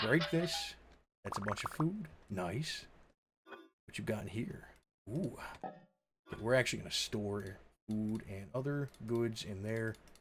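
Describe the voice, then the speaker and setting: Against background music, a medium-pitched man speaks very slowly with lively intonation and long, frequent pauses. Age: 20s. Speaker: video game streamer. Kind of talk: casual live stream commentary. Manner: rambling, self-interrupting.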